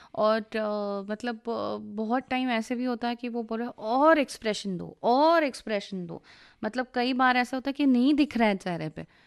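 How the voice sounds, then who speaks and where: With an unremarkable speaking voice, a woman speaks at a moderate pace with hardly any pauses, her fairly high pitch showing ordinary pitch variation against a quiet background. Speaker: voice-over and dubbing artist. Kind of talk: radio interview.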